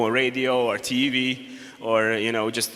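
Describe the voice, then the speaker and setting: A man talks at medium pitch in a monotone, flat way. Background noise is noticeable. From Hungary. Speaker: game designer and presenter. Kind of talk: conference presentation. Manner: halting.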